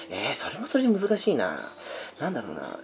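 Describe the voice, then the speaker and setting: Noticeable background noise is present throughout. A man is the one talking. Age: 30s. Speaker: podcast host. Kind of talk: casual chat.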